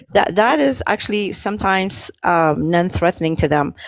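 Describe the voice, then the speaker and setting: With an Ethiopian accent, a woman speaks at a moderate pace and a very deep, low pitch. Her pitch variation is ordinary, and the sound is dry and close with no echo. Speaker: live stream panelist. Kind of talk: panel debate. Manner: halting.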